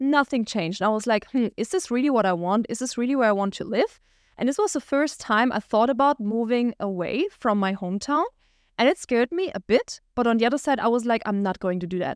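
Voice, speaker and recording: With a German accent, a woman speaks at a fairly quick pace and a fairly high pitch, her intonation lively, in a dry, close recording with no echo and a quiet background. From Germany, small village. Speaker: entrepreneur and podcast host. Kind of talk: solo monologue, personal story.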